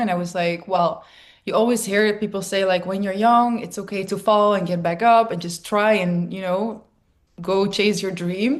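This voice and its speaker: With a Dutch accent, a woman speaks at a medium pitch with ordinary pitch variation. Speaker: DJ and producer. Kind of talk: interview conversation. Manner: casual, filler-heavy.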